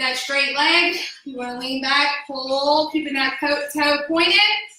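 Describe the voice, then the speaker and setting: A woman with a high pitch projects a raised voice amid audible room echo. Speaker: fitness instructor. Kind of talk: exercise class instruction. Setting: no microphone, unlike usual class. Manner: loud; energetic.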